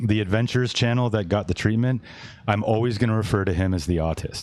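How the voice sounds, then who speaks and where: A man with a Canadian accent speaks at a fairly quick pace. His voice is fairly low and very even in loudness. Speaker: podcast host and streamer. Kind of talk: casual chat. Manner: casual, halting.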